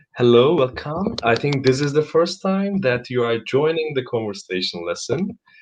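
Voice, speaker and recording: A man speaks at a moderate pace with hardly any pauses. His fairly high pitch makes very wide swings. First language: Turkish. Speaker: English conversation teacher. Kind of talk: live online conversation lesson. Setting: live stream.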